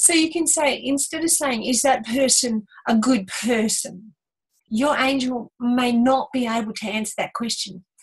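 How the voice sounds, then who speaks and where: Here a woman speaks in a high pitch. Her pitch variation is ordinary. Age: 60s. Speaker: spiritual teacher, angel medium. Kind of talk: casual talk show teaching.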